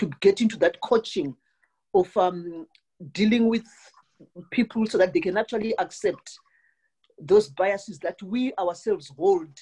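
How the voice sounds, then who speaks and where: Speaking at a moderate pace with a Southern African accent, a woman has a medium pitch, a dark, mellow tone and a somewhat breathy quality. Her intonation is lively, and the sound is dry and close with no echo. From Southern Africa (South Africa/Zimbabwe). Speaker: call participant. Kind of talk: panel discussion question. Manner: halting, stuttering repetitions.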